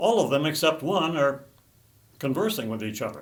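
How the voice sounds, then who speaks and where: Audible room echo surrounds a man's voice. He talks at a fairly quick pace with very wide pitch swings. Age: 80s+. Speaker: political commentator. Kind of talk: political commentary monologue.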